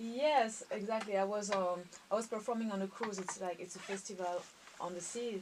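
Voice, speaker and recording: There is noticeable background noise behind a woman. She speaks in a French accent at a moderate pace. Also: medium pitch for a woman, fairly even intonation. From Reunion Island and Paris, France. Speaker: violinist. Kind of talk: interview. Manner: halting.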